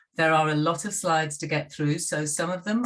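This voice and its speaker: A woman with a British accent, at a moderate pace. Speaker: university lecturer. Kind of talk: lecture.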